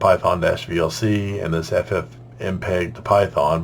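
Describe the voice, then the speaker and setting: Here a man speaks at a fairly low pitch with vocal fry. His pitch variation is ordinary. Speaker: software tutorial maker. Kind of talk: screen-recorded tech tutorial narration. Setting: separately recorded voiceover. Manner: casual.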